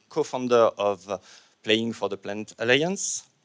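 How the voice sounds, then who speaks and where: On a very clean recording with a silent background, a man speaks with a French accent. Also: dry, close sound with no echo. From France. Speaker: panel moderator. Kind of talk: conference panel introduction. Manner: hesitant, many fillers.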